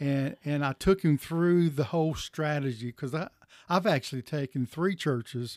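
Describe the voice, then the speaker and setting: With a Tennessee accent, a man with a fairly high pitch speaks at a moderate pace and ordinary pitch variation, in a very clean recording with a silent background and a dry, close sound with no echo. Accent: Southern US, Tennessee. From Tennessee, Chattanooga area. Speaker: denominational church consultant. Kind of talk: interview. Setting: pastor's office.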